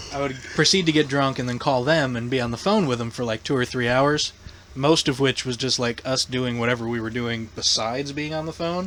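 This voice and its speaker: A man with a northern US accent, medium pitch, ordinary pitch variation and a fairly quick pace. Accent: northern US accent, largely kept. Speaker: podcast host. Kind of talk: casual chat.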